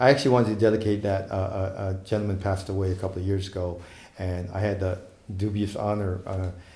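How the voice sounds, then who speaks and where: Very fast speech from a man with a fairly low pitch, a dark, mellow tone, monotone, flat intonation, a somewhat breathy quality and audible room echo. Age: 60s. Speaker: saxophonist. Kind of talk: interview. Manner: halting.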